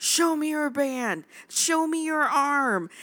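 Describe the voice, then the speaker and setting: A put-on character voice shouting, high and raised, projected at a very slow pace. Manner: yelling, manly.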